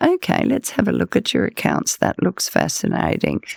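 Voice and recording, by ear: The voice is a put-on character voice with a creaky sound. It moves at a moderate pace.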